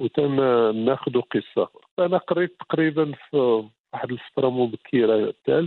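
A man with a normal speaking voice, medium in pitch, lively in intonation and fairly slow. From Morocco, Beni Mellal. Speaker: novelist. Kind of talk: interview.

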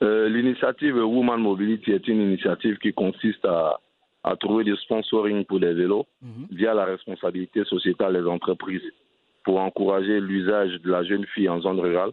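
Using a plain, everyday voice, a man talks at a fairly quick pace with a fairly low pitch and fairly even intonation. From Côte d'Ivoire, Abidjan. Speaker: entrepreneur and NGO head. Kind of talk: interview.

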